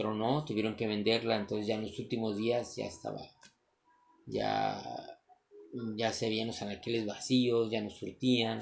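This man has a fairly low-pitched voice. His intonation stays fairly even. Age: 40s. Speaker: entrepreneur vlogger. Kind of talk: motivational monologue. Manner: halting.

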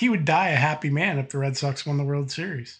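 A man with an American accent speaks at a fairly high pitch in a somewhat breathy voice. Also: quiet background. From Massachusetts. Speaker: podcast guest, tabletop gamer. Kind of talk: casual chat. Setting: voice call over Discord, no video.

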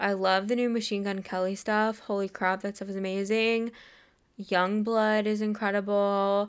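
In a very clean recording with a silent background, a woman talks at a moderate pace in a medium pitch with monotone, flat intonation. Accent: American. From Los Angeles area, US. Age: 20s. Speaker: podcaster and YouTuber. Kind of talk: solo monologue. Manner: casual, filler-heavy.

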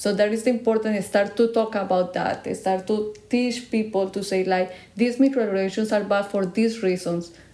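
A woman's voice at medium pitch moves at a moderate pace with fairly even intonation. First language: Spanish. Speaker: podcast co-host. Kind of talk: casual chat.

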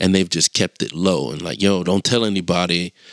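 This man speaks at a moderate pace in a very deep, low voice, with a dry, close sound free of echo on a very clean recording with a silent background. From Chester, Pennsylvania, US. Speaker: podcast host. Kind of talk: casual monologue. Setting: solo recording with passing traffic. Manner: casual.

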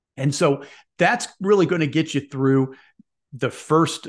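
The speaker has a Midwestern American accent, ordinary pitch variation and a moderate pace, with a quiet background. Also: man. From US Midwest. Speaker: sports podcast host. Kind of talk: casual monologue. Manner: rambling.

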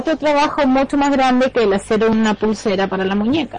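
The speaker has a slight Chilean accent. Background noise is noticeable. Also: woman. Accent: Chilean, barely noticeable. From Chile, Concepción. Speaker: radio show guest. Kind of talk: casual chat.

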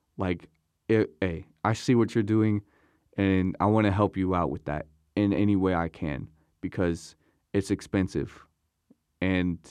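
Fairly slow speech with an American accent, long, frequent pauses, fairly even intonation, and a quiet background. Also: man, very deep, low pitch for a man. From Virginia, Newport News. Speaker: college student and music producer. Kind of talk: casual interview.

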